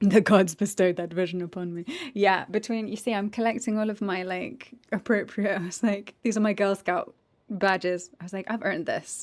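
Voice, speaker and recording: A woman of medium pitch with an English accent, fairly even intonation and a moderate pace. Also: very clean recording, silent background. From raised by American parents. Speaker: voice actor and game streamer. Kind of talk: casual chat. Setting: live stream.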